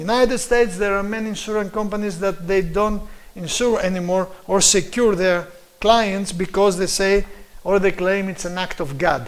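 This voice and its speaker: A man with a Greek accent, high in pitch with ordinary pitch variation, in a room with audible echo. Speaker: preacher and lecturer. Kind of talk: lecture. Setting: live stream. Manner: halting, with many fillers.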